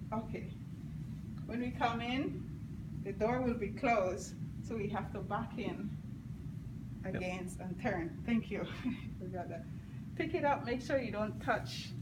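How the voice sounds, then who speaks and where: A woman talks at a fairly slow pace, pausing long and often, with noticeable background noise around her. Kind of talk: tutorial. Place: classroom. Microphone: phone near.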